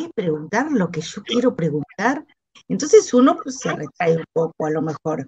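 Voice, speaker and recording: A woman speaks at medium pitch and a moderate pace, with very wide pitch swings. Her loudness swings widely, and the sound is dry and close with no echo. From Argentina. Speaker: shoe designer, design movement member. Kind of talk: casual chat.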